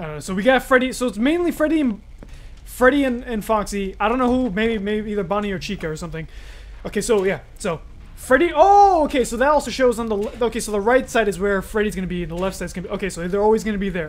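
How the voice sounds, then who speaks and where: This man speaks at a very fast pace. His intonation is lively. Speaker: gaming streamer. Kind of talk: gameplay commentary. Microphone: headset.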